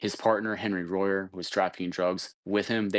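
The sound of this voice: Against a quiet background, intonation stays fairly even in an unforced reading voice.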